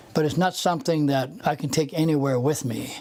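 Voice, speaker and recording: A fairly high-pitched man with an American accent, over noticeable background noise. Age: 70s. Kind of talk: interview answer.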